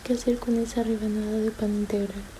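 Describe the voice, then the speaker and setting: A woman is whispering. There is noticeable background noise. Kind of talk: read story. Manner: whispered.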